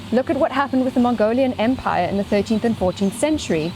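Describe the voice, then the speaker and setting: Noticeable background noise surrounds a woman with a high pitch and a South African accent. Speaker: scientist and speaker on ecology. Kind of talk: lecture.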